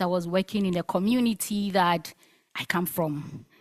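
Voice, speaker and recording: In a Ghanaian accent, a woman speaks at a medium pitch with ordinary pitch variation, the sound dry and close with no echo on a very clean recording with a silent background. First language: Asante Twi. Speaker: linguist researcher. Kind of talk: conference talk.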